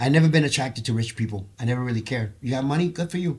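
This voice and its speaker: A man speaks in a somewhat breathy voice. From Puerto Rico. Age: 60s. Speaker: choir member, former case manager. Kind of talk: podcast interview, personal testimony.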